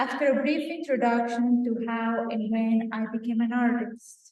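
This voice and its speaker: A woman talks at a moderate pace with a Venezuelan accent. Her pitch is high. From Venezuela, Táchira near Colombian border. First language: Spanish. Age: 30s. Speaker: visual artist. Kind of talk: artist talk. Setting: auditorium with audience.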